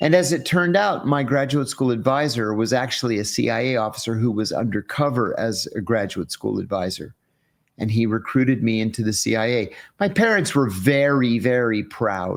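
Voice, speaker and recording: This man has a normal speaking voice, medium in pitch, with an American accent and ordinary pitch variation at a moderate pace. The recording is very clean against a silent background. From US, rural Western Pennsylvania. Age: 60s. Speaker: former CIA officer. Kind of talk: interview.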